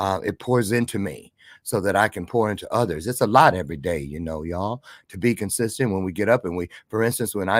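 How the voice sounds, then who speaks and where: The recording is very clean, with a silent background and a dry, close sound with no echo, as a man talks at a fairly quick pace in an animated tone with ordinary pitch variation. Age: 60s. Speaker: motivational speaker. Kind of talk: motivational talk.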